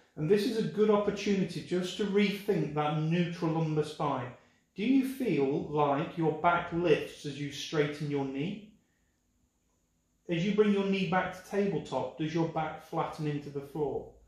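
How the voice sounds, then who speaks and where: A man's high voice at a fairly slow pace, with audible room echo. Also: ordinary pitch variation. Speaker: pilates instructor. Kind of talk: exercise class instruction. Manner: instructive, measured pacing.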